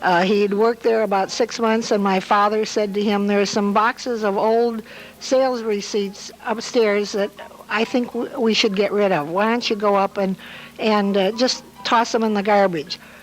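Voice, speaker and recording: A woman's medium-pitched voice at a moderate pace, with fairly even intonation, very even loudness and noticeable background noise. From Hammond, Indiana, US Midwest. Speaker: local elder sharing memories. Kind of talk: oral history storytelling. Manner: halting with frequent uh fillers.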